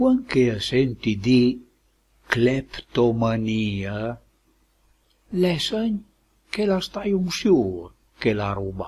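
A man with a Lombard accent speaks at a very slow pace in a medium-pitched, somewhat breathy voice, his pitch swinging very widely between long, frequent pauses. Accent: Lomellina dialect of Lombardy. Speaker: dialect poet and translator. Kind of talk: poetry reading.

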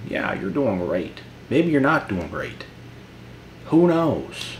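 A man's very slow speech with very wide pitch swings and long, frequent pauses, over light background noise. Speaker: motivational YouTuber. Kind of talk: motivational monologue vlog. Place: home room.

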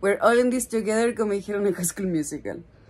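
A woman with a Chilean accent talks at a fairly quick pace, her pitch varying in an ordinary way. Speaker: lifestyle vlogger. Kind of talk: casual vlog talk to camera. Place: home room. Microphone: phone near.

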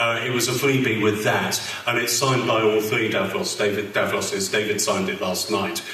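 A man's voice at a medium pitch and moderate pace, ordinary pitch variation, light background noise and audible room echo. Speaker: convention interviewer. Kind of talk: interview on stage. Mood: cheerful, animated. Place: hall.

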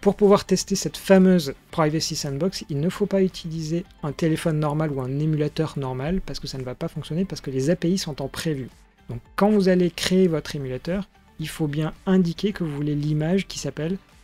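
A man speaks with fairly even intonation. Faint music plays in the background. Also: moderate pace. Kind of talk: tutorial.

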